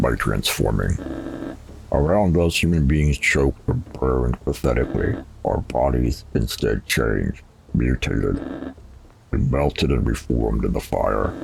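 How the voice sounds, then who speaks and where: A man uses a put-on character voice with a menacing tone. His pitch is very deep and low, with ordinary pitch variation, at a moderate pace. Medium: game stream. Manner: commanding, menacing.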